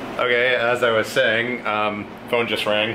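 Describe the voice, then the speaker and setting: Background noise is noticeable here. A man talks over it. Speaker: vlogger. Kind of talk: casual vlog chat. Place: home room. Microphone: phone near.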